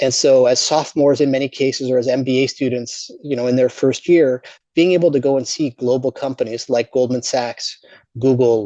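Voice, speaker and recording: A man's dark, mellow voice sits at a medium pitch with fairly even intonation. The sound is dry and close with no echo. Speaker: business school dean. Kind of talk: virtual presentation. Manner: fast; repeats words, fillers.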